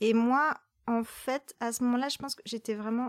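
Flat, monotone speech in a dry, close sound with no echo. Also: woman. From rural France. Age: 30s. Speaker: poet. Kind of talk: casual chat. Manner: halting.

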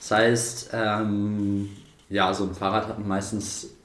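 This man's voice is fairly low, with fairly even intonation and a very slow pace. Room echo is audible. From northern Germany, Buchholz. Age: 20s. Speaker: drone repair entrepreneur. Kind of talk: interview.

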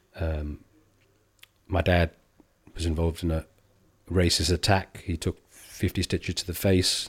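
On a very clean recording with a silent background, a man with an English accent speaks at a fairly slow pace with long, frequent pauses, his very deep, low voice somewhat breathy and his intonation monotone and flat. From England. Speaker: comedian. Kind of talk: casual chat. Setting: barber's grooming room.

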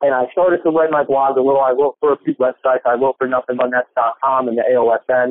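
This man has an unremarkable speaking voice with an American accent and a fairly high pitch. He talks at a fairly quick pace with fairly even intonation. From New Jersey. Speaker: sports podcast host, guest. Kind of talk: casual interview chat. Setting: phone call.

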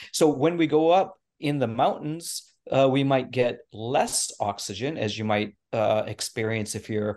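Lively intonation marks this man's medium-pitched voice, delivered with an American accent. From US Pacific Northwest. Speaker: naturopathic physician. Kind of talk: expert interview explanation. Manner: many filler words and hesitations.

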